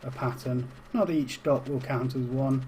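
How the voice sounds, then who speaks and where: With a British accent, a man speaks at a medium pitch in a monotone, flat intonation. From UK. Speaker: game tutorial streamer. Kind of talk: tutorial. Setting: live stream. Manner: casual, with fillers.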